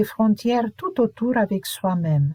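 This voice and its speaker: A woman with a Hungarian accent, somewhat breathy with a dark, mellow tone and a fairly high pitch, speaks at a fairly slow pace in a dry, close sound with no echo. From Romania, Hungarian minority (Partium region). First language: Hungarian (speaking French). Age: 70s. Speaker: memoir narrator. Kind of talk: autobiographical narration.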